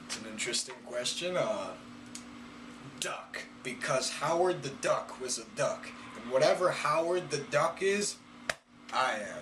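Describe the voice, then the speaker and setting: A man talks at a fairly slow pace with long, frequent pauses. Audible room echo and noticeable background noise are present. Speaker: YouTuber. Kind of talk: casual Q&A reading viewer questions. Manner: hesitant, with fillers.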